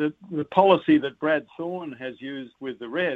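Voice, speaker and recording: A man with an Australian accent, fairly high in pitch, with ordinary pitch variation and a moderate pace. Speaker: rugby commentator. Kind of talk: casual chat.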